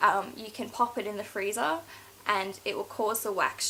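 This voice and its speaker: Through noticeable background noise comes a woman's voice with a fairly high pitch. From Scotland. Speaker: beauty vlogger. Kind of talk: casual haul video monologue. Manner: hesitant, many fillers.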